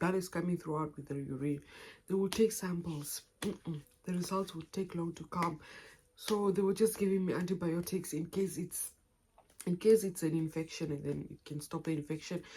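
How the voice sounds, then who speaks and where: Somewhat breathy, a woman speaks with a fairly low pitch, a dark, mellow tone and fairly even intonation. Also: moderate pace. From Namibia. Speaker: YouTuber. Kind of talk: personal story vlog. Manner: halting, self-correcting.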